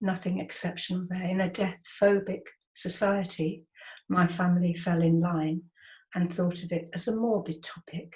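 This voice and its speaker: A woman with a medium pitch speaks in a flat monotone, her voice somewhat breathy. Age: 70s. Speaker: artist and educator. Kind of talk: interview.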